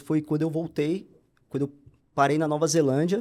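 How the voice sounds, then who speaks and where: In a very clean recording with a silent background, a man with a dark, mellow tone speaks at a fairly high pitch in a monotone, flat intonation. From Brazil, São Paulo. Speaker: pastor. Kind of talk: interview testimony.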